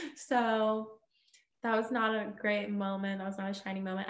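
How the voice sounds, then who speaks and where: A woman speaks with a fairly high pitch. Room echo is audible. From Texas, Houston. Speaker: TV news reporter. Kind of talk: interview.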